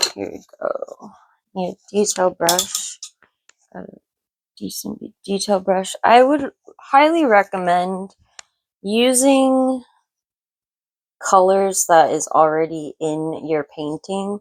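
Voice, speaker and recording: A woman mumbles at a very slow pace and medium pitch, with lively intonation and long, frequent pauses. The sound is dry and close with no echo. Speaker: artist painting tutorial host. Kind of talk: tutorial. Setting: art studio. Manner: mumbling.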